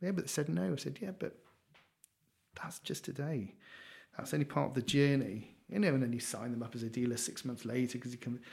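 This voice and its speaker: A man with a Geordie accent speaks at a fairly quick pace, his medium-pitched voice somewhat breathy. His intonation is lively, broken by long, frequent pauses. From northern England, Newcastle. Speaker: finance company founder. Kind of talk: casual interview chat. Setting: office.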